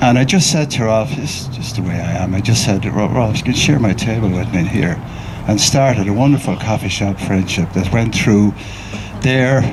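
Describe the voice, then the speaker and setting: A man speaks with an Irish accent at a fairly low pitch. Audible room echo and noticeable background noise surround him. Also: ordinary pitch variation, moderate pace. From Ireland. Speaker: mourner sharing memories at a memorial. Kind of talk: eulogy, informal remembrance speech. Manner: halting, repetitive.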